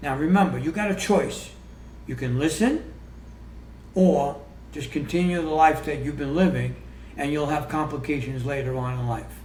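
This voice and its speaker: With audible room echo, a man speaks at a moderate pace and leaves long, frequent pauses. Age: 60s. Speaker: health coach and author. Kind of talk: podcast interview. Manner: halting.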